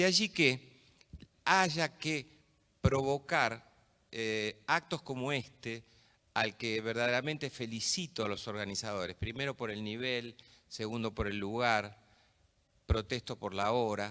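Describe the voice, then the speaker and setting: On a very clean recording with a silent background, a man with a bright, sharp tone and medium pitch speaks at a fairly slow pace, with ordinary pitch variation and long, frequent pauses. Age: 60s. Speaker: judge. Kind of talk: conference talk.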